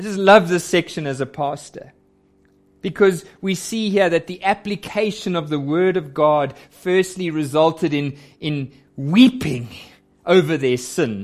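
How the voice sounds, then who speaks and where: With lively intonation and a high pitch, a man talks at a fairly slow pace. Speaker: preacher. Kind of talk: sermon. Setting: church.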